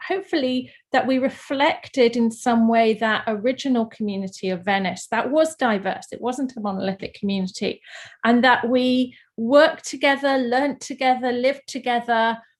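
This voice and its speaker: Against a quiet background, the speaker moves at a fairly quick pace with ordinary pitch variation. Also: woman. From London, England. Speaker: artist. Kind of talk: panel presentation. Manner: hesitant, many fillers.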